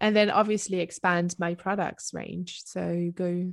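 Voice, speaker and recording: At a very slow pace, a woman speaks with a French accent and a fairly low pitch. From southern France. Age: 20s. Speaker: entrepreneur. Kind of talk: interview. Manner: halting.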